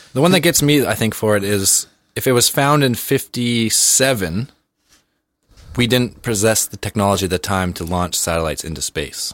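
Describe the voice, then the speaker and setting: Speaking at a fairly low pitch, a man has an unremarkable speaking voice. His intonation is lively. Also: moderate pace. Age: 20s. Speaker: podcast co-host. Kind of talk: casual chat.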